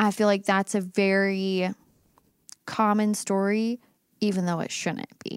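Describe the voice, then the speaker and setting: A woman speaks at a medium pitch with monotone, flat intonation and long, frequent pauses. The recording is very clean, with a silent background. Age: 30s. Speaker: podcast co-host, former teacher. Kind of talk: casual chat.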